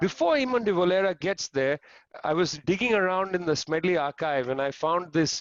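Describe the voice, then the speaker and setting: A man talks at a moderate pace. He has a strong Punjabi accent. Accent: thick Punjabi. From India, Punjab. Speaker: historian. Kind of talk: panel talk. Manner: animated.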